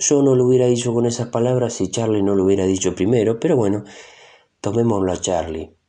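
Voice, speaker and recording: Fairly quick speech from a man with a fairly low pitch and a dark, mellow tone. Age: 20s. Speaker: actor and impressionist podcaster. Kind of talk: solo podcast monologue.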